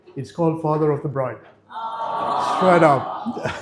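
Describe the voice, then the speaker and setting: With ordinary pitch variation, a man's speech moves at a moderate pace. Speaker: father of the bride. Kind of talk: wedding speech. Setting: wedding reception with audience. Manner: mumbling; halting.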